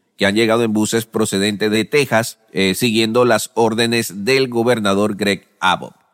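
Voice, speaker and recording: A medium-pitched male voice, close and dry, with no echo. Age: 40s. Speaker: news podcast host. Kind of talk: news reading.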